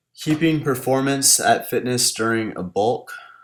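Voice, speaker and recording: A man's fairly high voice at a very slow pace. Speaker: fitness YouTuber and personal trainer. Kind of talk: casual Q&A vlog voiceover. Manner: casual with many fillers.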